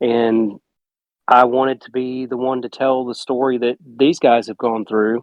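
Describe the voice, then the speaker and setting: Monotone, flat delivery in a Southern US accent at a fairly slow pace. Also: man, medium pitch for a man. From South Carolina (Gaffney). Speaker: film director. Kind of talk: casual chat.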